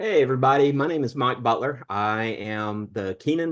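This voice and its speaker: Against a quiet background, a man talks at a moderate pace in a Southern US accent. His pitch varies in an ordinary way. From US South, southern Alabama. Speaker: history professor. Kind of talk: online panel discussion.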